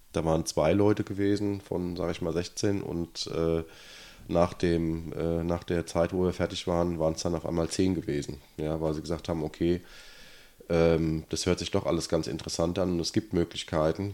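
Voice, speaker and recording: At a moderate pace, a man speaks in a very deep, low pitch with a dark, mellow tone and a monotone, flat intonation. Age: 40s. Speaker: local politician, city councillor. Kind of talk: casual interview.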